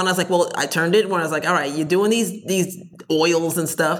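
Speaking with an American accent, a woman has a normal speaking voice at a medium pitch, a moderate pace and ordinary pitch variation. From New Jersey. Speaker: entrepreneur. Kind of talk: interview.

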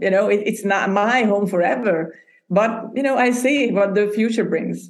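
A woman talks at a moderate pace in a Hungarian accent. Her pitch is medium, with ordinary pitch variation. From Hungary. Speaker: podcast booking entrepreneur. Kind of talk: interview.

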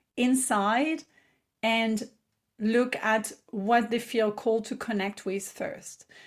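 A woman with a French accent and a fairly high pitch, very slow pace, and a very clean recording with a silent background. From south of France, Provence. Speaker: business mentor and entrepreneur. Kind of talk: casual interview chat.

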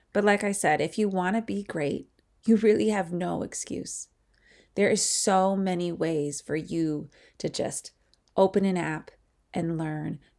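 A normal speaking voice from a woman, medium in pitch with ordinary pitch variation, at a fairly slow pace, in a very clean recording against a silent background. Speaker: podcast host and sports coach. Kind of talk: solo podcast monologue. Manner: casual, with frequent filler words.

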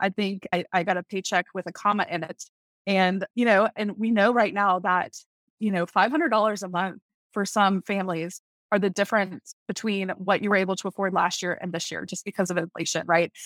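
This woman has a plain, everyday voice with an American accent, a medium pitch, fairly even intonation and a fairly quick pace. The recording is very clean, dry and close, with no echo and a silent background. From US South, Tallahassee, Florida. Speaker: network marketing leader. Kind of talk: interview.

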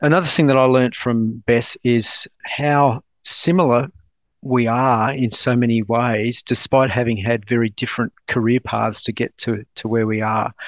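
With an Australian accent, a man speaks at a moderate pace in a medium-pitched voice with fairly even intonation, the sound dry and close with no echo against a quiet background. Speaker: naval officer and defence project director. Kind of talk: casual chat.

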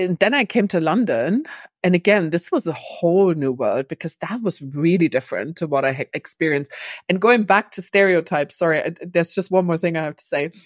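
Speaking with a German accent, a woman uses lively intonation at a fairly quick pace and fairly low pitch, in a dry, close sound with no echo. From East Germany. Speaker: cross-cultural business trainer. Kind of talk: interview.

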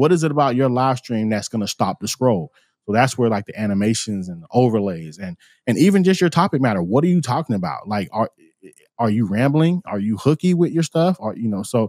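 On a very clean recording with a silent background and a dry, close sound with no echo, a man with an American accent and medium pitch talks at a very fast pace with very wide pitch swings. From Florida, US. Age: 40s. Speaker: musician and live-streaming consultant. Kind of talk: casual interview.

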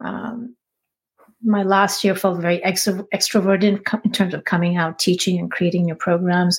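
Somewhat breathy and in a monotone, flat intonation, a woman of medium pitch talks at a moderate pace in a very clean recording with a silent background. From India. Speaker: spiritual teacher. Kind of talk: interview.

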